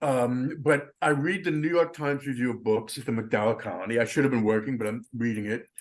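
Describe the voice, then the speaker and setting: Here is an unremarkable speaking voice with an American accent. The pace is moderate and the pitch variation ordinary. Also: man. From US Northeast, Long Island. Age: 60s. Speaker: composer. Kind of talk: panel discussion. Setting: video call.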